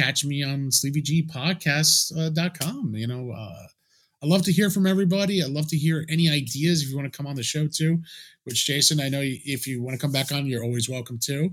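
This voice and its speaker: A man's fairly high voice comes across as somewhat breathy. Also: ordinary pitch variation, fairly quick pace. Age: 40s. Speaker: podcast host. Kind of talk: casual chat.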